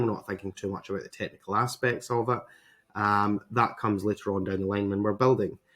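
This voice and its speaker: A man with a Scottish accent speaks at a fairly low pitch with fairly even intonation. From Scotland. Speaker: web designer, agency owner. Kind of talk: tutorial. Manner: hesitant, many fillers.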